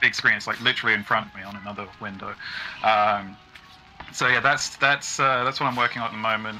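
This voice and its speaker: A man with an American accent talks at a very fast pace with fairly even intonation and big swings in loudness. Music plays in the background. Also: fairly low pitch for a man. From Britain. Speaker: game music composer. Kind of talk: interview on livestream. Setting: video call.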